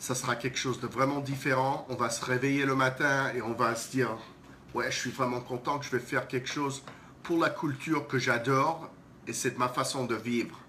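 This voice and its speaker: Over noticeable background noise, a man with a non-native accent speaks in a flat monotone. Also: medium pitch for a man, moderate pace. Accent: non-native French, self-described as horrible. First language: English (speaking French). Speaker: breakdance event organizer. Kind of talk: live stream announcement. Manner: halting, repeats words.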